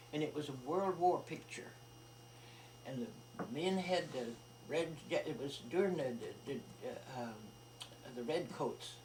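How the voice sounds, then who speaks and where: Over noticeable background noise and audible room echo, a woman speaks with a very deep, low pitch and lively intonation. Her pace is fairly slow, with long, frequent pauses. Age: 80s+. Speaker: elderly relative recounting family history. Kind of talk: casual family conversation, reminiscing. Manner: halting, with repetitions.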